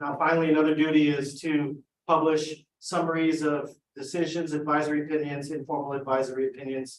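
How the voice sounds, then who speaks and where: A man speaks at a fairly high pitch and a fairly quick pace. His intonation is monotone and flat. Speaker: legal presenter at commission board meeting. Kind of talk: briefing presentation at board meeting. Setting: board meeting, livestreamed. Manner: fast.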